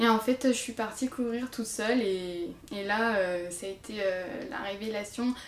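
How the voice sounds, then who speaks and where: A woman's fairly high voice, fairly slow, with ordinary pitch variation. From France, Marne (Champagne). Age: 20s. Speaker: nurse and amateur runner. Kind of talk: interview. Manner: hesitant, many fillers.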